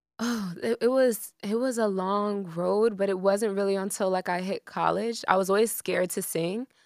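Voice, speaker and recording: A woman with an American accent speaks in a plain, everyday voice at medium pitch and a moderate pace. Her intonation is fairly even, she hardly pauses, and the recording is very clean with a silent background. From Miami, Florida. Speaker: singer-songwriter. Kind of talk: casual chat.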